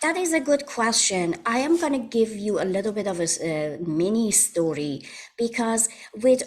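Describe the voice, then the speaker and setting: Over noticeable background noise, a woman with a Persian accent speaks at a moderate pace in a fairly high pitch, her pitch swinging very widely. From Iran. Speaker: holistic wellness practitioner. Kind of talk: interview.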